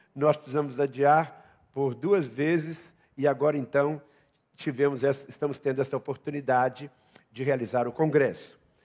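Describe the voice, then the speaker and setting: A man's fairly high voice at a moderate pace, in a very clean recording with a silent background. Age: 60s. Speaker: pastor. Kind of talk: sermon. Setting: church.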